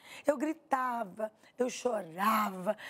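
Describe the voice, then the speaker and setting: In a high voice, a woman talks with ordinary variation in her pitch. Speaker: author sharing personal faith testimony. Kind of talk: testimony in interview. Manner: very expressive, emotional; holding back to speak quietly.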